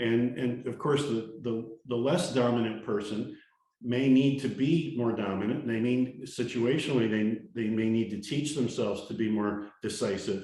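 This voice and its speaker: Audible room echo surrounds a man who speaks at a moderate pace in a medium pitch with ordinary pitch variation. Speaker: leadership trainer. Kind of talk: talking-head monologue. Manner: confident, energetic.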